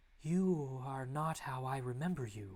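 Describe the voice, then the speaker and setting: A man puts on a character voice at a medium pitch. He speaks at a fairly slow pace with ordinary pitch variation. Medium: read story. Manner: defiant, stubborn.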